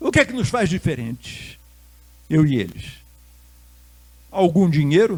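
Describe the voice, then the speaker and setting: Pausing long and often, a man talks at a fairly slow pace with very wide pitch swings. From Rio de Janeiro, Brazil. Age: 70s. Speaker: Buddhist monk and lecturer. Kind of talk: lecture. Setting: stage with audience.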